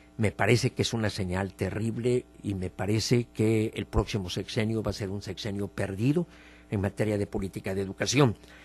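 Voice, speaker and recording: A man with a fairly low, somewhat breathy voice talks at a moderate pace, his intonation fairly even. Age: 70s. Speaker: politician and political commentator. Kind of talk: radio opinion interview.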